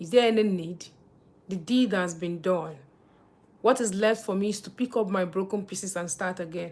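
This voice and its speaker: The speaker, with a Nigerian accent, leaves long, frequent pauses and swings widely in loudness. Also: woman, medium pitch for a woman, ordinary pitch variation, moderate pace. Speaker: livestreamer. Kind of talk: live stream chat. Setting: live stream.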